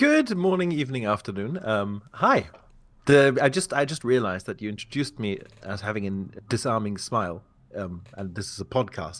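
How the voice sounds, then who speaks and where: The speaker has a British accent and very wide pitch swings at a moderate pace. The recording is very clean with a silent background. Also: man, medium pitch for a man. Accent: British-learned English. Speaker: community manager. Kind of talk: interview. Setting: podcast recording.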